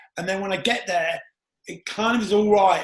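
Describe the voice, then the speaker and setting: A man talks loudly at a fairly quick pace. His pitch is high. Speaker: podcast host. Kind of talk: interview.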